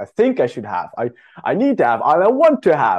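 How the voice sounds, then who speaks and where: The speaker talks at a fairly quick pace with a Dutch accent. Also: man. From Netherlands. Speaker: dating service founder. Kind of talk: interview podcast.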